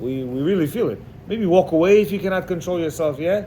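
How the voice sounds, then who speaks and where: Amid noticeable background noise and audible room echo, a man with a high pitch speaks in an animated tone with ordinary pitch variation. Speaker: religious teacher. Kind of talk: lecture. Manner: loud when excited.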